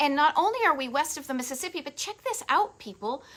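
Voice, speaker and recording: In an American accent, a woman uses a raised, projected voice with a bright, sharp tone on a very clean recording with a silent background. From Massachusetts, Boston area. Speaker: travel video host. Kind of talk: live stream chat. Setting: facebook live stream from home. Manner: animated.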